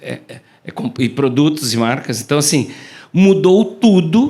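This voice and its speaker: This man speaks at a high pitch. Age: 60s. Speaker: keynote speaker, communication professor. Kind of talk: keynote talk to live audience. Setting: stage with audience. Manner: fast; animated.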